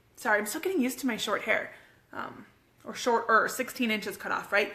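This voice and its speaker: A woman speaks in a raised, projected voice with a bright, sharp tone. Her intonation is lively and her tone animated. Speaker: fitness coach and homeschooling mom. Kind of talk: casual live video chat. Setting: live stream at home with kids.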